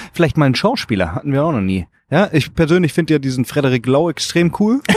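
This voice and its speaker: Very fast speech with lively intonation comes through a dry, close sound with no echo. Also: man. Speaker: podcast host. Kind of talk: casual chat.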